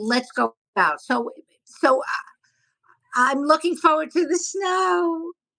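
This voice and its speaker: With a Brooklyn accent, a woman projects a raised voice that has a bright, sharp tone. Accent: New York (Brooklyn). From New York City (Brooklyn). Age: 60s. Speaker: comedian. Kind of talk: interview. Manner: halting, many restarts.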